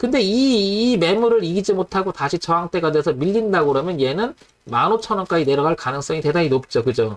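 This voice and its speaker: This man has a high voice with very wide pitch swings. His loudness stays very even. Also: fairly quick pace. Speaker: stock market analyst hosting live stream. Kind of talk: live-streamed stock chart analysis. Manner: fast.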